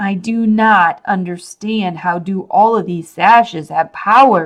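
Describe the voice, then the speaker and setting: A put-on character voice, female-sounding, at a middle pitch and a fairly slow pace. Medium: read story. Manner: menacing.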